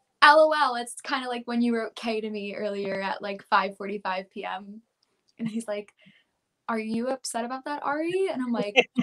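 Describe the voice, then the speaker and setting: The voice has a bright, sharp tone, a moderate pace, ordinary pitch variation and big swings in loudness, with a dry, close sound and no echo. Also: woman, fairly high pitch for a woman. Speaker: pop country singer. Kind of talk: interview.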